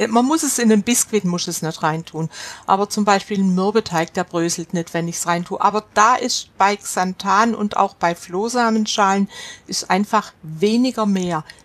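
A woman talks at a moderate pace and medium pitch with ordinary pitch variation. The sound is dry and close with no echo, though noticeable background noise is present. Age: 70s. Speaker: gluten-free baking expert. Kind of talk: casual chat.

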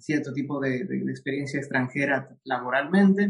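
Pitch shifts with ordinary variation. The speed is moderate. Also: man. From Ecuador. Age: young. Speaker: immigrant professional sharing his story. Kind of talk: interview. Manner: halting, with frequent repetitions.

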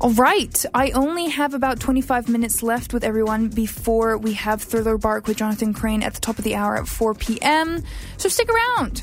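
A woman with a fairly high pitch talks at a moderate pace, with ordinary pitch variation, hardly any pauses and noticeable background noise. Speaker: radio host. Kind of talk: radio dj patter. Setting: radio studio. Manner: chatty, upbeat, friendly; casual, slightly rambling, with fillers.

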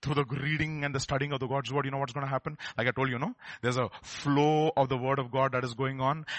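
A man speaks very fast in a Telugu accent. His fairly high voice stays monotone and flat. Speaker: preacher. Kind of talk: sermon. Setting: church service.

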